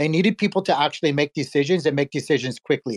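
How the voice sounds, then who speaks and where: Talking at a very fast pace, a man with a fairly high pitch and ordinary pitch variation comes through on a very clean recording with a silent background and a dry, close sound with no echo. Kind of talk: community call discussion.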